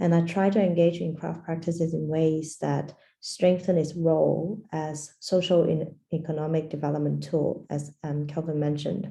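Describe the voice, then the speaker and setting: The voice is somewhat breathy and dark, mellow in tone, delivered in a monotone, flat intonation at a moderate pace with audible room echo. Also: woman. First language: Portuguese. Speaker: design anthropologist. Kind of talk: lecture. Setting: video call.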